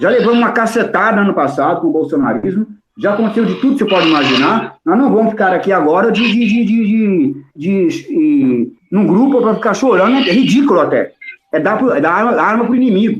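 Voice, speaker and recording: With a high pitch, a man talks fairly quickly. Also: lively intonation, very even loudness. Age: 60s. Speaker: political analyst. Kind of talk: heated debate; casual chat. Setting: audio chat room. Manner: animated.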